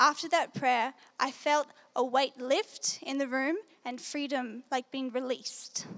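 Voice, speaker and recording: With an Australian accent, a woman talks in a high-pitched voice. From Australia, New South Wales. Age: young. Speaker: Bible school student. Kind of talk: testimony talk. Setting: stage with audience.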